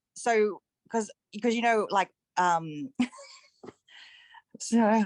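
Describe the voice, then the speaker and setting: Speaking at a very slow pace, a woman with a fairly high pitch and ordinary pitch variation comes across in a dry, close sound with no echo. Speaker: coaching client. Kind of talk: casual question in a group call. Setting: video call from bed. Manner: halting, stuttering.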